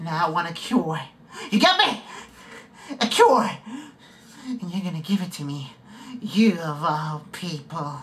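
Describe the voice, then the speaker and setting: A man with a high pitch and ordinary pitch variation speaks in a menacing tone, leaving long, frequent pauses. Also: fairly slow pace, big swings in loudness. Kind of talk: audition practice, dramatic screen acting. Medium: solo performance. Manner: menacing, taunting, mocking, unhinged.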